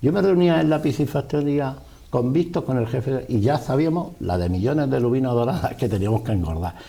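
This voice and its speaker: Somewhat breathy, a man with a medium pitch talks at a fairly quick pace and makes very wide pitch swings. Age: 60s. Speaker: businessman. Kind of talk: interview.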